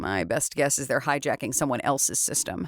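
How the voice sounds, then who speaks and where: A man puts on a raspy character voice at fairly high pitch. He talks at a fairly quick pace. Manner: bored, annoyed.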